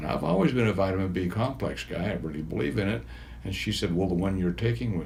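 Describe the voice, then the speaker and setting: With audible room echo, a man talks at a fairly quick pace in a very deep, low voice marked by vocal fry. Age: 70s. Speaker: patient. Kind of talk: testimonial interview. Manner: halting.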